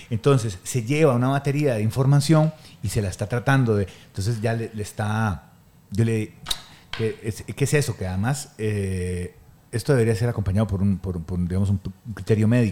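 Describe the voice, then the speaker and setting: In a Costa Rican accent, the speaker has a dark, mellow tone, a moderate pace and ordinary pitch variation. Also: man. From Costa Rica, Guanacaste. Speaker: photographer and weightlifting coach. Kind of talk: casual chat.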